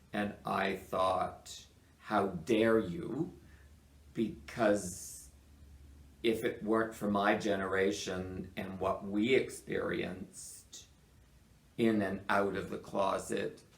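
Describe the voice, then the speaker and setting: A man speaks at a very slow pace with fairly low pitch and ordinary pitch variation. Long, frequent pauses stand out, and the room echo is audible. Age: 60s. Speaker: retiring media commentator. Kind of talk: casual chat.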